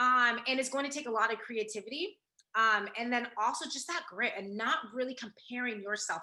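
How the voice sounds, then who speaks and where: A woman's high, bright and sharp voice, animated, with lively intonation and a fairly quick pace. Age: young. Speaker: founder of a creative agency, speaker. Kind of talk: online workshop presentation.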